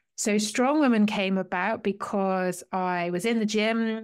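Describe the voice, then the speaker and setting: The speaker has a British accent. The recording is very clean, with a silent background. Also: woman. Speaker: wellbeing coach, former police officer and strongwoman. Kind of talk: interview.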